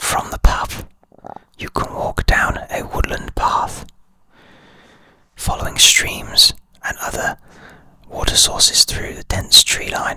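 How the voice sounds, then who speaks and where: A man whispers at a very slow pace, leaving long, frequent pauses. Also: big swings in loudness. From United Kingdom. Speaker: licensed drone pilot. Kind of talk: ASMR whispered introduction and ramble. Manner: whispered.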